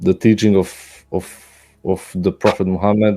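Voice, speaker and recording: In a Serbian accent, a man with a dark, mellow tone and fairly low pitch speaks at a moderate pace with fairly even intonation. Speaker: caller. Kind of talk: heated debate. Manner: halting.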